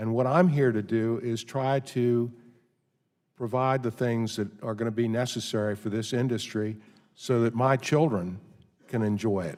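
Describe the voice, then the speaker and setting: On a very clean recording with a silent background, a man with an ordinary speaking voice talks at medium pitch and a moderate pace, his intonation fairly even. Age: 60s. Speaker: horse racing industry witness. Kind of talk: hearing testimony.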